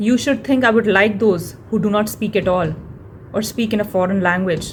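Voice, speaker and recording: With an Indian accent, the speaker talks at a moderate pace with fairly even intonation. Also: woman, medium pitch for a woman. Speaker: blogger. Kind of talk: reading aloud.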